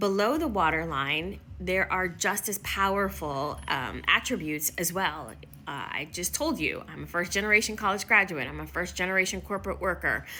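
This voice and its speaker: The speaker has a Midwestern accent and keeps a moderate pace with hardly any pauses. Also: woman. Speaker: workplace inclusion consultant. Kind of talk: motivational talk to camera.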